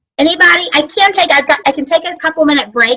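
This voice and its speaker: A woman talking at a very fast pace with lively intonation. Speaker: sales trainer. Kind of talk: training class.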